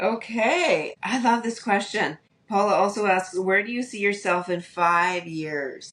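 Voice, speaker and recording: Speaking at a fairly slow pace, a woman holds a medium pitch with ordinary pitch variation. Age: 60s. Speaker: podcast host. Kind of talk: casual chat.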